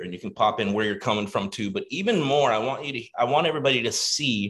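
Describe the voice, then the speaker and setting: Lively intonation marks this man's animated tone. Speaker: online coaching community host. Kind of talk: live webinar hosting. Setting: video call. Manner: loud.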